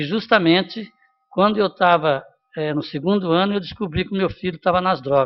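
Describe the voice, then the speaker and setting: Ordinary pitch variation runs through a man's high-pitched voice. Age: 70s. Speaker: city councillor. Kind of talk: council debate remarks. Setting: city council chamber. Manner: halting.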